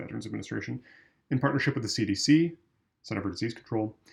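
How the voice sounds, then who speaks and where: A man is speaking. His voice has vocal fry. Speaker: volunteer member of a veterans' political group reading policy. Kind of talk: policy reading, straight read without commentary. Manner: plain, measured reading.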